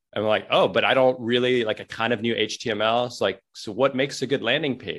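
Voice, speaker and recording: In a very clean recording over a silent background, a man's voice holds a medium pitch. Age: 40s. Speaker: newsletter writer and online entrepreneur. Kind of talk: casual interview. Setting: call.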